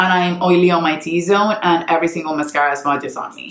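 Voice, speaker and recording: The woman has a normal speaking voice with a fairly low pitch. She moves at a moderate pace. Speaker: beauty youtuber and makeup artist. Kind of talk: casual product review talk to camera.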